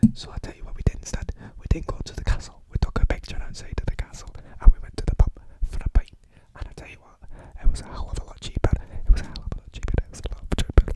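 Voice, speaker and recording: A man whispers at a very fast pace in a playful tone, with big swings in loudness. The sound is dry and close with no echo, over noticeable background noise. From England. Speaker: ASMR creator. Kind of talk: casual talk to camera. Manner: rambling, playful, repetitive.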